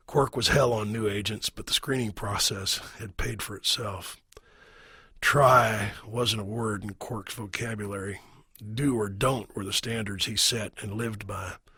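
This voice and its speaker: In a put-on character voice, a man speaks raspy and fairly low-pitched with fairly even intonation at a moderate pace, on a very clean recording with a silent background. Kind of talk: audiobook narration. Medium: read story. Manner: measured, wry storytelling.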